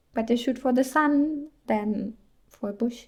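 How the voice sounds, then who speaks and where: Her pitch sits fairly high for a woman. The pitch variation is ordinary. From Germany. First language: German. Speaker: indie game developer and VTuber. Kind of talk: casual devlog narration. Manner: animated.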